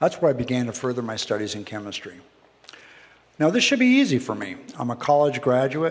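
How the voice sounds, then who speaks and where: In an American accent, the talking moves along fairly quickly. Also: man. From Canada, Windsor, Ontario. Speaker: speaker at a community presentation night. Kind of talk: prepared short talk with slides. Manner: fast.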